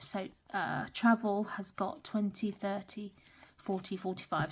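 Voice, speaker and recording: A woman speaks with a British accent. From UK. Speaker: budgeting vlogger. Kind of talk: casual talk-through tutorial. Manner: hesitant, many fillers.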